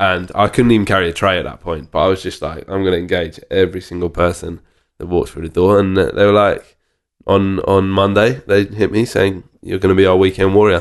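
A man speaks in a monotone, flat intonation at a very deep, low pitch against a quiet background. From Cambridge, England. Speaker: bartender and bar owner. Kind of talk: casual chat.

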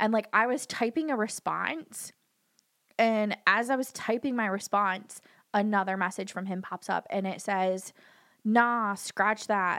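In a very clean recording with a silent background, a woman with an ordinary speaking voice talks at a medium pitch with ordinary pitch variation. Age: 30s. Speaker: dog groomer and hairdresser. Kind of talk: casual chat.

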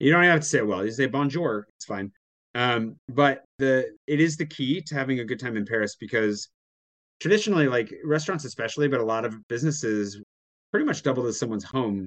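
Using a normal speaking voice, a man with medium pitch and an American accent talks at a fairly quick pace with lively intonation. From Washington State, US. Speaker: YouTuber and blogger, expat in Paris. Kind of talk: casual interview chat.

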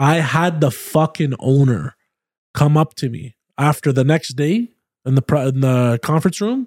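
A man with a Canadian accent speaks at a moderate pace, the sound dry and close with no echo. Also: fairly high pitch for a man, ordinary pitch variation, very clean recording, silent background. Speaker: podcast host. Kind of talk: casual chat. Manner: loud.

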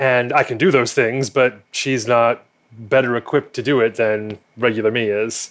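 Against a quiet background, a man with an ordinary speaking voice talks at a moderate pace and medium pitch, with fairly even intonation. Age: 30s. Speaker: math teacher and amateur drag queen. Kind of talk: casual chat.

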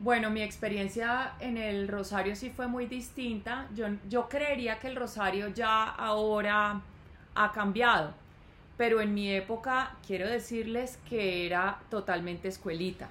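Audible room echo surrounds a woman speaking at a fairly high pitch with fairly even intonation. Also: fairly slow pace. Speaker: podcast co-host, mother of co-host. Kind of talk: casual chat.

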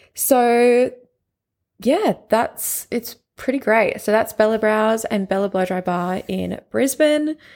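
A woman with an Australian accent speaks very slowly at a fairly high pitch with ordinary pitch variation, on a very clean recording with a silent background. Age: 20s. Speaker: podcast host and business owner. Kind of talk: casual monologue. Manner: animated.

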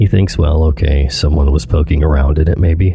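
A man's very deep, low voice at a fairly quick pace, with music in the background. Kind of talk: true-crime horror narration. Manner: suspenseful, tense storytelling.

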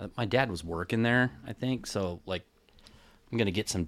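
Ordinary pitch variation shapes the speech of a man with an American accent. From Kansas City. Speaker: guest, old friend of host. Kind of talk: casual chat.

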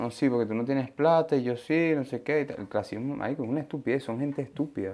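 With a Venezuelan accent, a man speaks at a very fast pace in a fairly high pitch, with a dark, mellow tone and ordinary pitch variation. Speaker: podcast co-host. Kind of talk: casual chat.

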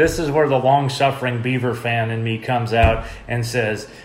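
A man talks at a moderate pace with an American accent. Room echo and background noise are noticeable. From Oregon, US (Medford). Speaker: sports podcast co-host. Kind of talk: casual sports chat.

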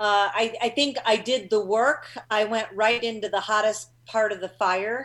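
A woman speaks at a fairly slow pace in a plain, everyday voice, fairly high in pitch, with fairly even intonation. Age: 50s. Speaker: psychology professor and grief researcher. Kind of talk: interview on talk show. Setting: video call.

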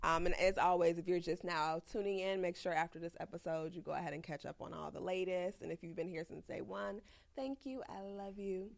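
A woman talks with an American accent in a fairly low pitch and ordinary pitch variation. Her tone is animated, with hardly any pauses. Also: fairly quick pace. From Chicago, South Side. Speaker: podcast host. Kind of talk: casual chat. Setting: studio.

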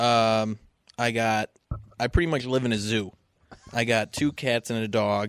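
Speaking with a Western New York accent, a man moves at a fairly slow pace with long, frequent pauses, a medium pitch and fairly even intonation. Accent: Western New York (Inland North) American. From US Northeast (Western New York). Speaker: podcast guest, friend of host. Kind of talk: casual chat.

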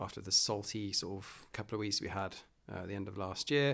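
Here a man talks with a British accent. His pitch is fairly low and his pace moderate. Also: very clean recording, silent background. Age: 40s. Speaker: podcast host. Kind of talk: casual monologue. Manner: hesitant, many fillers.

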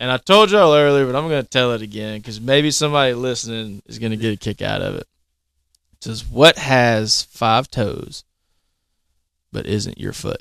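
A man with a Southern US accent at a moderate pace, with big swings in loudness. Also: medium pitch for a man, ordinary pitch variation, dry, close sound with no echo. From Mississippi. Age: 30s. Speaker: firefighter. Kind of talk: casual chat.

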